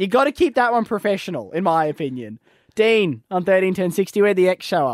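A man with an Australian accent talks fairly quickly at a high pitch with very wide pitch swings, in a very clean recording with a silent background and a dry, close sound with no echo.

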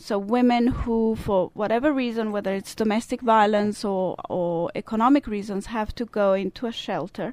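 With a Swiss Italian accent, a woman speaks at a moderate pace with hardly any pauses, a fairly high pitch and ordinary pitch variation. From Italian-speaking Switzerland. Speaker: service club representative. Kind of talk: interview.

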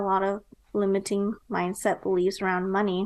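Quiet surroundings for a woman with an American accent. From US Midwest, Nebraska. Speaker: entrepreneur and marketing strategist. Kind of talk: interview.

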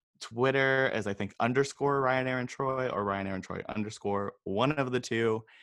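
Against a quiet background, a man with an American accent talks at medium pitch and a moderate pace. His intonation is fairly even, and he hardly pauses. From Northern California. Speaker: cosmetics brand owner. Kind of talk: casual interview.

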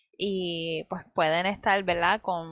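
Against a quiet background, a woman talks in an ordinary speaking voice. Her pitch is fairly low and her pace fairly slow. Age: 20s. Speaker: medical student. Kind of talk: casual faith podcast chat and testimony.

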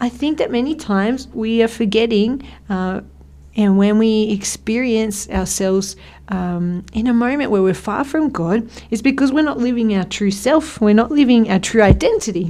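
A woman speaks with an Australian accent at a fairly high pitch. Her tone is dark and mellow. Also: ordinary pitch variation, moderate pace. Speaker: radio host. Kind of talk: casual chat. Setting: studio. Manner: animated.

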